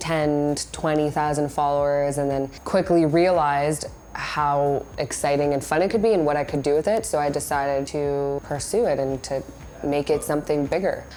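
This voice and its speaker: Amid noticeable background noise, a woman with a very deep, low pitch talks at a moderate pace, her intonation fairly even and her loudness very even. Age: 20s. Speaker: social media influencer. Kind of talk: interview. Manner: casual, filler-heavy.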